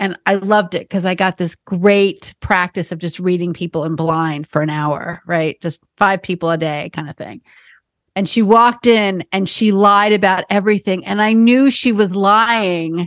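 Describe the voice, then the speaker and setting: A woman with an American accent has an ordinary speaking voice, ordinary pitch variation and a moderate pace. The very clean recording is dry and close, with no echo and a silent background. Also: medium pitch for a woman. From New York City. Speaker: podcast host, psychic medium. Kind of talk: casual chat.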